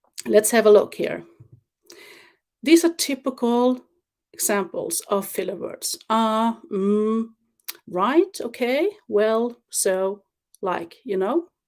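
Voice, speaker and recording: A woman with a non-native accent speaks at a very slow pace with long, frequent pauses and a fairly high pitch. The recording is very clean, with a silent background. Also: lively intonation. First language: not English. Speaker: webinar presenter. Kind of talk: livestream presentation. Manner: halting, with filler words.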